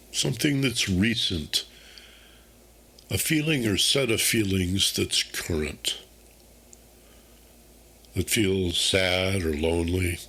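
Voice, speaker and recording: A man talks at a very slow pace in a calm, soothing tone. His pitch is fairly low and swings very widely. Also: long, frequent pauses, very even loudness. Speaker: meditation guide, host. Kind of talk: guided meditation. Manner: calm, slow, soothing.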